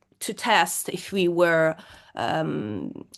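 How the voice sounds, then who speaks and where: With an Italian accent, a woman talks in a fairly low voice against a quiet background. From Italy, Florence. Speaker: metal singer. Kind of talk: interview. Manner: halting.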